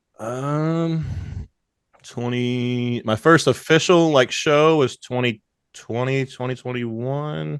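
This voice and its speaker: With a Southern US accent, a man speaks at a very slow pace and medium pitch, using ordinary pitch variation. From Louisiana (Bossier City/Shreveport). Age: 20s. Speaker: strongman competitor and social media personality. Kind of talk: casual podcast interview.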